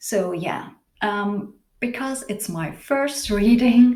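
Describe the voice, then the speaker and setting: A woman speaks at a very slow pace in a somewhat breathy voice with ordinary pitch variation, and audible room echo surrounds her. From Switzerland. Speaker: tarot reader and singer. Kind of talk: tarot reading. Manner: halting, searching for words.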